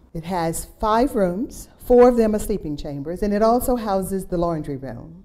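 The intonation here is lively. A woman delivers her words at a fairly slow pace. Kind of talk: guided tour narration. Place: home room. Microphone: lapel.

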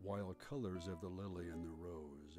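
A man with a very deep, low pitch at a moderate pace, dry sound with no echo, and noticeable background noise. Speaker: voice actor. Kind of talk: poetry reading. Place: studio. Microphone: studio mic.

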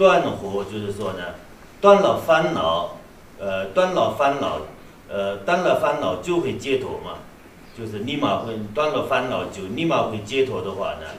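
A man with a Tibetan accent at a fairly slow pace, with big swings in loudness, audible room echo and light background noise. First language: Tibetan (speaking Chinese). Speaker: Buddhist abbot teacher. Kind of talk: dharma lecture. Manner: halting, many fillers and repetitions. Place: hall.

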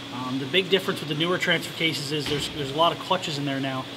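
A man speaks against noticeable background noise. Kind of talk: tutorial. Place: garage.

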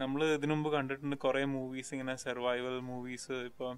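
The pitch is medium. It comes from a man. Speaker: podcast host. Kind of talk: casual chat.

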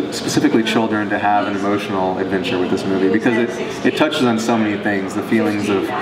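Loud background noise sits behind a man talking at a very fast pace. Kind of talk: interview answer. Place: hall. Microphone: camera far.

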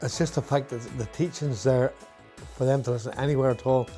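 With faint music in the background, a man speaks at a fairly quick pace in a Northern Irish accent. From Northern Ireland. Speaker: retired firefighter and ministry donor. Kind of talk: interview answer. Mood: warm, enthusiastic. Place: home room. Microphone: lapel.

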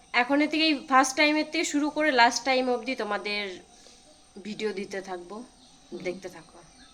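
A woman with a high pitch speaks with lively intonation and big swings in loudness. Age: 20s. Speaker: vlogger's sister. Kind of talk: casual chat.

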